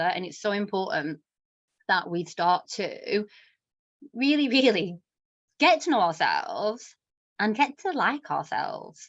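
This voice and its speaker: A woman speaks with an English accent and a lively intonation. The background is quiet. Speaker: self-worth coach. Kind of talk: workshop talk. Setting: live online session. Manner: fast.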